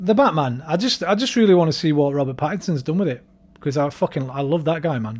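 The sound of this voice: A man talks very fast with a northern English accent. His fairly high voice has lively intonation. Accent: Scouse-like northern English.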